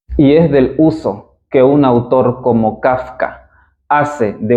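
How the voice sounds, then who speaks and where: Fairly even in intonation, a man talks at a medium pitch. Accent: eastern Bolivian. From eastern Bolivia. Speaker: philologist, literature educator. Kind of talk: lecture. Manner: formal.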